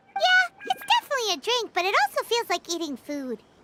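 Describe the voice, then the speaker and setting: In a put-on character voice, the speaker sounds squeaky and upbeat at an extremely high pitch. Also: fairly quick pace. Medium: video game. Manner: casual, upbeat.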